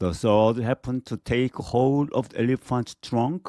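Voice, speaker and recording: A man with a Korean accent speaks fairly slowly at a medium pitch, the sound dry and close with no echo on a very clean recording with a silent background. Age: 50s. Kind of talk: children's story reading.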